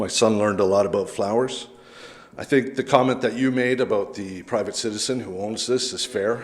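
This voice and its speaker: Over noticeable background noise and audible room echo, a man with a Canadian accent talks at a fairly quick pace with fairly even intonation. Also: medium pitch for a man. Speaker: local resident speaking at public meeting. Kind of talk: public comment at council meeting. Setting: council chamber with public gallery.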